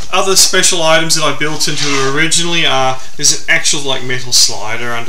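With light background noise and audible room echo, a man talks at a fairly quick pace using ordinary pitch variation. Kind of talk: interview answer. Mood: relaxed, enthusiastic. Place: home room. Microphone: camera far.

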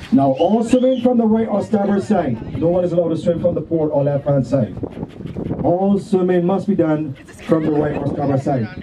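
Lively intonation carries a moderate pace over noticeable background noise. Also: man, high pitch for a man. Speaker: pirate cruise crew member / host. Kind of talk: safety briefing announcement to passengers. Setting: outdoors on a boat. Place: boat.

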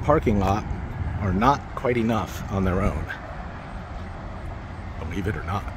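A man talks at a moderate pace over noticeable background noise, the sound dry with no echo. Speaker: urban explorer vlogger. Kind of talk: casual vlog commentary. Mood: dry, wry humor. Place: street. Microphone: phone near.

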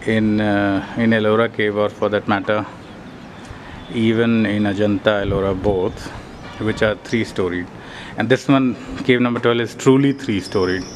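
Over light background noise, a man with a fairly low pitch talks at a moderate pace with fairly even intonation and long, frequent pauses. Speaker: tourist guide narrator. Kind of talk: casual travel commentary. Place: tunnel cave. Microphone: phone near.

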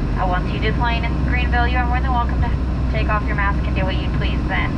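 Loud background noise runs under speech at a very fast pace. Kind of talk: cabin announcement. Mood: firm, warning. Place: plane.

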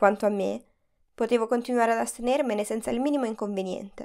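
Very fast yet fairly even in intonation, the dark, mellow voice comes through on a very clean recording with a silent background. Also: woman. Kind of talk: literary audiobook reading, first-person memoir narration. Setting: studio recording.

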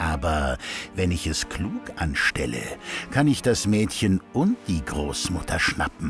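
A man with a very deep, low pitch talks at a very slow pace, his pitch swinging very widely, with music playing in the background. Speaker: narrator. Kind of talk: children's fairy tale narration. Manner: child-friendly storytelling.

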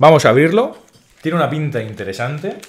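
The speaker moves at a fairly quick pace with big pitch swings. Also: man, fairly high pitch for a man.

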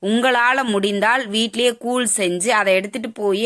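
A woman at medium pitch speaks at a moderate pace in a fairly bright tone, with ordinary pitch variation.

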